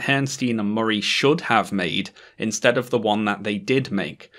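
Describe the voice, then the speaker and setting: A man with a British accent at a moderate pace. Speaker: YouTuber. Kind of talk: video essay commentary.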